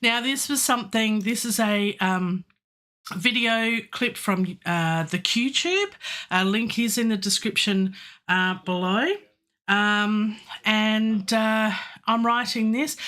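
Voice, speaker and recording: A woman with an Australian accent speaks at a very slow pace in a fairly high pitch, her tone bright and sharp. Her pitch varies in an ordinary way and her loudness stays very even. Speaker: composer and classical singer; livestream host. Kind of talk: live stream chat. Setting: home studio. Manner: animated. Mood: friendly, upbeat. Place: home room.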